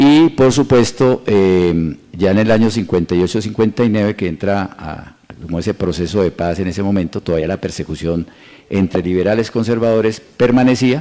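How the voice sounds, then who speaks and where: This man's voice is fairly low in pitch, with ordinary pitch variation. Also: moderate pace. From Colombia, Boyacá and Tolima. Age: 60s. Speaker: mayoral candidate. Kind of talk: interview. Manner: halting, many fillers.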